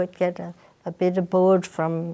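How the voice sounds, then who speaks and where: A woman with an Australian accent, a dark, mellow tone and a fairly low pitch. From Sydney, Australia (Granville). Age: 80s+. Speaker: elderly interviewee recalling her life. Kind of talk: interview. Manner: halting.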